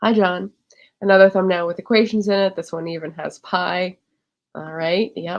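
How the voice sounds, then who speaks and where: Quiet and fairly low in pitch, a woman speaks. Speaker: livestream tech tutor. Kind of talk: livestream tutorial. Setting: livestream. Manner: quiet, holding back voice.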